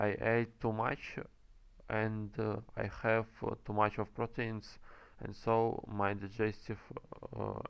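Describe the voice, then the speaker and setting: Speaking with a non-native accent, the voice is very slow, monotone and flat, broken by long, frequent pauses. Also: man. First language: not English. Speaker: game developer and commentator. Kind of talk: gameplay commentary. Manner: halting, many fillers.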